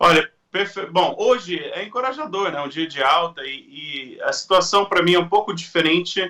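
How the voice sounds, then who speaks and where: A man's high-pitched voice comes across in a bright, sharp tone. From Brazil, Mato Grosso (grew up from age 7). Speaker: agricultural market analyst. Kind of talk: interview. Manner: hesitant, with repetitions.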